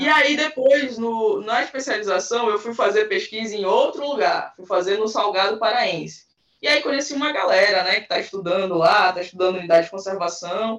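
Music sits in the background as a woman talks at a fairly quick pace. Her fairly high voice has lively intonation. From Belém, Pará, northern Brazil. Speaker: anthropologist. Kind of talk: interview.

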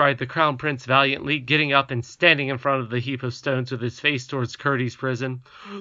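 This plain reading aloud keeps to fairly even intonation.

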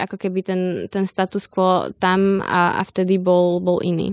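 The recording is very clean, with a silent background and a dry, close sound free of echo. A woman speaks at a medium pitch. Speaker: protest organizer. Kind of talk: interview.

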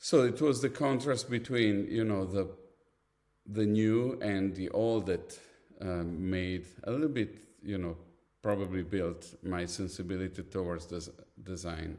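A man speaks with a fairly low pitch at a fairly slow pace. He takes long, frequent pauses, and his pitch varies in an ordinary way. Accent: Italian. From Italy. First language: Italian. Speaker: design agency founder and creative director. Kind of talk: casual interview. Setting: video call. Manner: animated.

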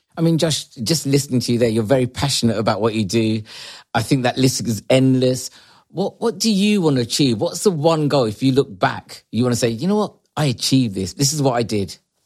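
A man speaks with an unremarkable speaking voice at a medium pitch. His intonation is lively. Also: fairly quick pace. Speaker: podcast co-host. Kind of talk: interview.

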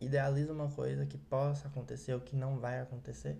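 A man speaks at a moderate pace with a medium pitch and a dark, mellow tone, somewhat breathy. Audible room echo surrounds the voice. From Ceará, Brazil. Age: young. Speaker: podcast host. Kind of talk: solo podcast monologue.

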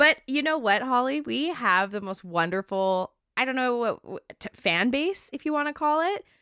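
A woman's high, raised and projected voice, bright and sharp, with very wide pitch swings and hardly any pauses, at a moderate pace, on a very clean recording with a silent background. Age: 20s. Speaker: podcast co-host. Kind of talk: casual chat.

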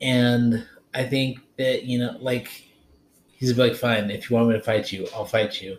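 A man with a medium-pitched, somewhat breathy voice talks at a fairly slow pace. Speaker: podcast host. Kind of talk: casual chat. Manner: excitable.

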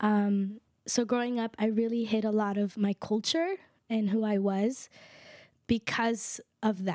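A woman with a fairly high pitch and a dark, mellow tone speaks at a fairly slow pace with fairly even intonation and long, frequent pauses, in a dry, close sound with no echo. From Guatemala. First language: K'iche' (Mayan). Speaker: podcast co-host. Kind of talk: casual interview conversation.

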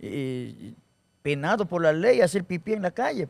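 With an animated tone and lively intonation, a man speaks in a fairly high pitch. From Ecuador, Guaranda (Bolívar). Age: 40s. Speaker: comedian. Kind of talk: casual chat.

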